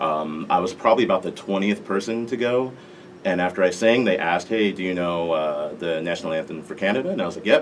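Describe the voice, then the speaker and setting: A man with an American accent speaks at a moderate pace with ordinary pitch variation. Noticeable background noise can be heard. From Las Vegas, Nevada, US. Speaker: national anthem singer. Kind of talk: interview.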